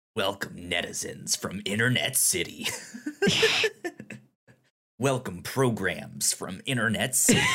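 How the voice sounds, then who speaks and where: A man puts on a raspy character voice with medium pitch and lively intonation. He goes at a fairly slow pace with long, frequent pauses. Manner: threatening.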